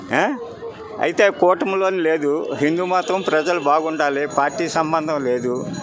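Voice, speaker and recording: A man with a fairly high pitch and ordinary pitch variation talks while noticeable background noise is present. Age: old. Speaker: interviewee in street public talk. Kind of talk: street interview answer.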